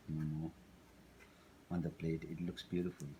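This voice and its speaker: A man's dark, mellow tone in a Tibetan accent. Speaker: cooking instructor. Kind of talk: cooking tutorial. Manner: halting, with many fillers.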